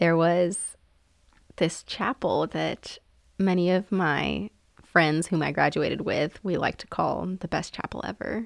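With an American accent and a normal speaking voice, a woman talks at a fairly slow pace in a fairly low pitch with fairly even intonation, on a very clean recording with a silent background. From New York, raised by Egyptian family. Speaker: physician assistant. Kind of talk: interview.

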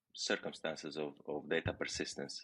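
A man speaks with a Romanian accent. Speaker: tech product executive. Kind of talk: interview.

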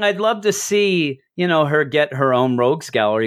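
A man speaks with an East Coast American accent. His pitch swings very widely. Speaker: comic book podcast host. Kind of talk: casual chat.

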